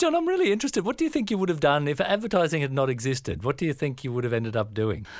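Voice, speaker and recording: A very fast male voice with hardly any pauses, fairly high in pitch, swinging very widely in pitch, on a very clean recording with a silent background. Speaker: creative agency founder, co-interviewer. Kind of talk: podcast interview.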